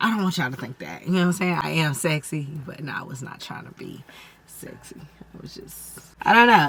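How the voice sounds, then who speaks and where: A woman at a fairly low pitch, with lively intonation, big swings in loudness and a fairly quick pace, amid noticeable background noise. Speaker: tarot reader. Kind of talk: tarot reading.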